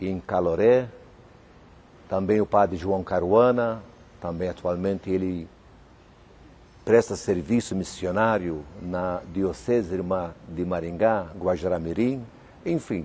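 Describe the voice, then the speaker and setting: A man's very deep, low voice with a dark, mellow tone, ordinary pitch variation, a very slow pace and long, frequent pauses. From Malta. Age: 60s. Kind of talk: TV interview. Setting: cathedral.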